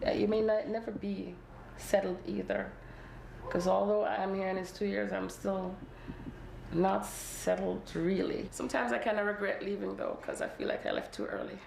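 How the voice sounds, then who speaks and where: A woman talks at a moderate pace. The room echo is audible, and there is noticeable background noise. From Jamaica. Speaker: LGBT exile from Jamaica. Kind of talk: documentary interview and group conversation.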